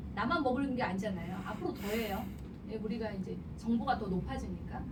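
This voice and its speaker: The delivery has an animated tone. Noticeable background noise and audible room echo are present. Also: woman. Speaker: business seminar speaker. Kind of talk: seminar lecture. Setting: seminar room with audience and microphone. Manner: animated, persuasive.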